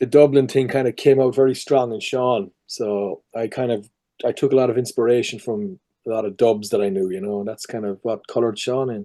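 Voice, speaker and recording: A man's dark, mellow voice in a Cork accent, at a medium pitch with ordinary pitch variation and a fairly quick pace. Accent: Cork Irish. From Ireland, Cork. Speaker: voice and performance capture actor. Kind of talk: casual interview chat.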